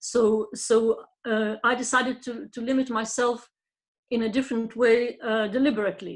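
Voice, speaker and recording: In a Lithuanian accent, a woman talks at a moderate pace and a fairly high pitch. Her intonation is monotone and flat. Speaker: poet. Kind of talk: panel discussion. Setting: pre-recorded online event. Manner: halting, many fillers.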